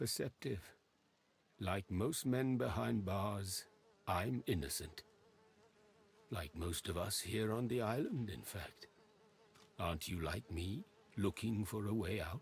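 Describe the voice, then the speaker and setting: Using a put-on character voice, a man speaks fairly low with long, frequent pauses. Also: fairly slow pace. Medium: video game. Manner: halting, evasive, odd phrasing.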